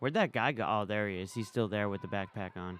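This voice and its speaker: Very fast and fairly low-pitched, a man speaks with an American accent and ordinary pitch variation. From New York. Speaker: live streamer. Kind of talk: casual live stream commentary. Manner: casual, conversational.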